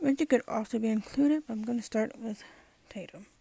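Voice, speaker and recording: Whispering in a somewhat breathy way at a moderate pace, a woman is heard in a dry, close sound with no echo. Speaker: movie commentary youtuber. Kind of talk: casual commentary video.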